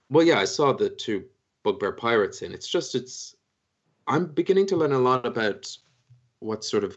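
This man has an Irish accent. His pace is moderate. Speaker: dungeon master. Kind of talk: tabletop roleplay narration; casual chat. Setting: live stream.

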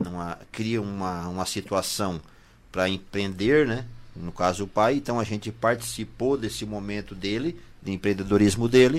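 A man's fairly low-pitched, normal speaking voice at a moderate pace with ordinary pitch variation. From southern Brazil. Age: 40s. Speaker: bakery owner. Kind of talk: radio interview.

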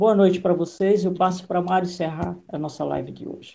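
A woman speaks at a moderate pace with a fairly low pitch. Vocal fry runs through her voice. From Maranhão, Northeast Brazil. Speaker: political consultant and live host. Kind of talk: live interview. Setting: video call livestream.

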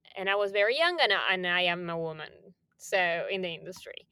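Here a woman speaks with a bright, sharp tone at medium pitch and a moderate pace. Her pitch varies in an ordinary way, and the recording is very clean with a silent background. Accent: Spanish. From Argentina, Buenos Aires. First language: Spanish. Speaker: music industry programming executive. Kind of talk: interview.

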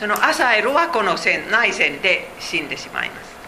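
Speech from a woman amid noticeable background noise and audible room echo. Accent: Finnish. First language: Finnish (speaking Japanese). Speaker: Bible teacher. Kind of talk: Bible study lecture. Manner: halting.

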